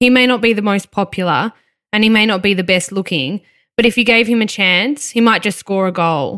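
Someone speaks at a fairly quick pace in an Australian accent, with a bright, sharp tone and ordinary pitch variation. Loudness stays very even, and the recording is very clean with a silent background. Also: woman, medium pitch for a woman. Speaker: true crime podcast co-host. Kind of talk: scripted true crime narration.

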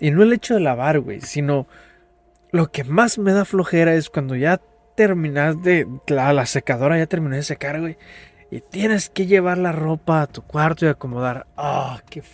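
In a dry, close recording with no echo, a man with a Mexican accent talks at a moderate pace, his fairly high voice showing ordinary pitch variation and big swings in loudness. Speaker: podcast host. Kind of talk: casual chat.

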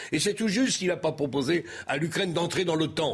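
A man's fairly high-pitched, lively intonation in an unremarkable speaking voice. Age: 60s. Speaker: political commentator. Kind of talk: televised debate.

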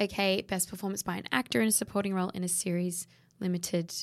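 Speaking at a very fast pace, a woman with an Australian accent keeps her intonation fairly even. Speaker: podcast co-host. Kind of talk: casual chat.

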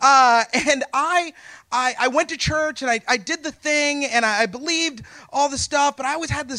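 A man's extremely high, bright, sharp voice, raised and projected, with an American accent at a moderate pace on a very clean recording with a silent background. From Texas. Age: 40s. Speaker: storyteller. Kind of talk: live storytelling. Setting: stage with audience.

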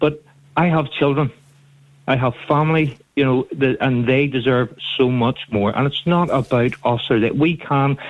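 A man speaks with a Northern Irish accent and very even loudness. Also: medium pitch for a man, fairly even intonation, moderate pace. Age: 30s. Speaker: radio phone-in caller. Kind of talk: phone-in call.

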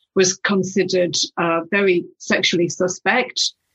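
A somewhat breathy woman's voice at medium pitch and a fairly slow pace. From northeast England. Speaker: former music industry executive. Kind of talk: casual interview chat. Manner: halting.

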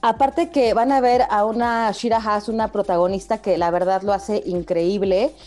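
Over music in the background, a woman speaks at a moderate pace with hardly any pauses. Her fairly high pitch shows ordinary variation, and her loudness stays very even. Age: 40s. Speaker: TV series review podcast co-host. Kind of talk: casual chat.

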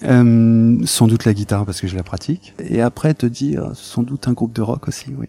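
With noticeable background noise, a man speaks at a moderate pace and medium pitch, showing ordinary pitch variation and hardly any pauses. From France, of Portuguese descent. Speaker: lawyer. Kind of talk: interview. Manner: hesitant, many filler sounds.

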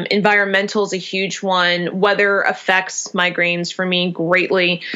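A woman at a medium pitch speaks in a flat monotone at a moderate pace, with noticeable background noise behind her. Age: 30s. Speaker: small business founder with chronic migraines. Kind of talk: casual interview chat.

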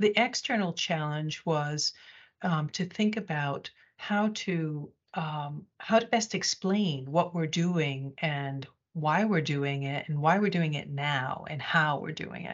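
With an American accent, a woman talks in a very deep, low pitch. Her pitch varies in an ordinary way. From United States. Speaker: corporate communications executive. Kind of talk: interview. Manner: hesitant, many fillers.

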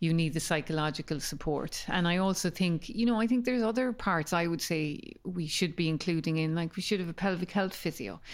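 Here a woman speaks with an Irish accent at a fairly low pitch. Her pace is moderate, and the recording is very clean with a silent background. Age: 50s. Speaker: podcast host. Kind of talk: interview. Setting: in person.

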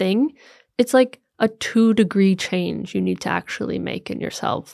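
An ordinary speaking voice at a fairly slow pace, dry and close with no echo, on a very clean recording with a silent background. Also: woman. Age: 30s. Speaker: life coach and women's community founder. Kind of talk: casual interview chat. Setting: in-person studio recording.

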